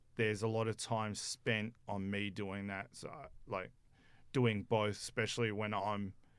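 Speaking at a fairly slow pace, a man with a fairly low pitch keeps a monotone, flat intonation. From South Africa. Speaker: sports videographer. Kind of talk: radio interview. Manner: halting.

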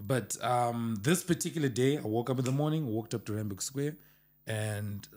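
Here a man has an unremarkable speaking voice at a medium pitch, talking at a moderate pace with lively intonation. The recording is very clean, with a silent background. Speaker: producer or music manager. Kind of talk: casual chat.

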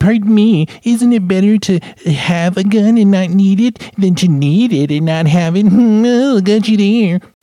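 A man performs a put-on character voice at a high pitch. He keeps a moderate pace and very even loudness. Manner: smug, mocking.

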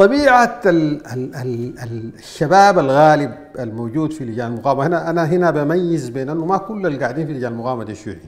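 Amid noticeable background noise and audible room echo, a man with a Sudanese accent talks at a fairly high pitch and fairly quick pace, with lively intonation, big swings in loudness and hardly any pauses. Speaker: political commentator. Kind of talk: political commentary monologue.

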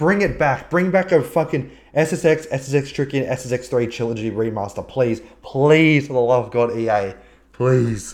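A man with an Australian accent speaks at a medium pitch and a moderate pace. His pitch varies in an ordinary way, and the background is quiet. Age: 20s. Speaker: podcast host and streamer. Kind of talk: casual chat. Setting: live stream video call.

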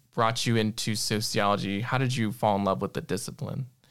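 Recorded very cleanly against a silent background, a man with a medium-pitched voice speaks with vocal fry. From United States. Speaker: podcast host. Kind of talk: interview.

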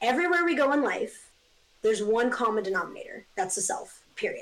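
Speaking fairly quickly in an animated tone, a woman with a fairly high voice talks with an American accent. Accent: often taken for US East Coast. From Northern California (Eureka). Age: 20s. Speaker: artist. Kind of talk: casual chat. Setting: video call.

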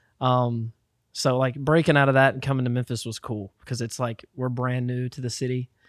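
An American-accented man talks at a medium pitch and fairly quick pace. His intonation is monotone and flat, and the sound is dry and close with no echo. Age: 20s. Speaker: musician. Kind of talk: casual chat.

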